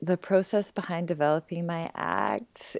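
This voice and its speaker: In a very clean recording with a silent background, a woman speaks at a very slow pace and a fairly low pitch, with ordinary pitch variation. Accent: western Canadian. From Vancouver, western Canada. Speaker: burlesque performer and teacher. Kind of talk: interview.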